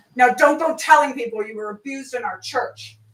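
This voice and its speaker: A female-sounding put-on character voice growls in a stern tone, pitched high. She moves at a fairly quick pace. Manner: stern, scolding.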